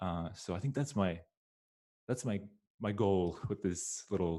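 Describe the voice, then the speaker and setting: In a Swedish accent, a man speaks with a very deep, low pitch and a dark, mellow tone. The recording is very clean, with a silent background. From Sweden. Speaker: game music composer. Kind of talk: presentation. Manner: halting, many fillers.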